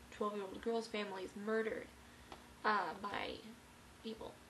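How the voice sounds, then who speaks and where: A woman speaks at a moderate pace, fairly high in pitch, with monotone, flat intonation. Noticeable background noise and audible room echo surround her voice. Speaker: vlogger. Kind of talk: casual vlog review. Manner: halting, many fillers.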